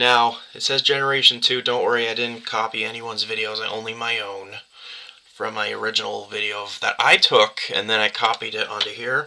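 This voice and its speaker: Noticeable background noise runs under the recording. Over it, a man talks at a fairly quick pace. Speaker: YouTuber reviewing media formats. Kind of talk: tutorial. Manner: halting, stuttering.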